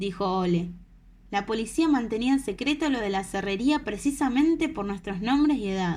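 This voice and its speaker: With lively intonation and a somewhat breathy quality, a woman speaks at a moderate pace. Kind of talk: audiobook reading. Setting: home recording, no studio.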